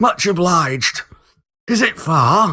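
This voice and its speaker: Using a put-on character voice, a man sounds raspy and high-pitched. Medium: read story. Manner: quiet, old-fashioned.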